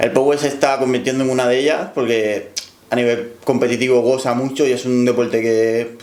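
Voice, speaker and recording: Audible room echo surrounds a man speaking at a moderate pace. His intonation is monotone and flat. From Cuba. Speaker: powerlifter. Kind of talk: interview.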